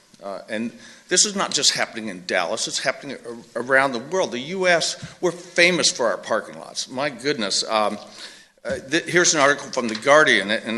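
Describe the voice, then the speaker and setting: A man talks at a moderate pace with medium pitch and lively intonation. Noticeable background noise runs behind him. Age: 60s. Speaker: resident speaking at public hearing. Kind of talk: public comment at hearing.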